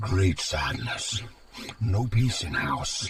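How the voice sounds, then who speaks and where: A man growls in a cartoonish character voice. His pitch sits at a medium level. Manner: broken grammar, gurgling made-up words.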